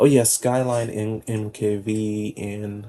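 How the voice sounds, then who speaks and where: A man with a fairly low pitch speaks in a dark, mellow tone and fairly even intonation. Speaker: video creator. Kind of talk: casual monologue. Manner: halting, many fillers.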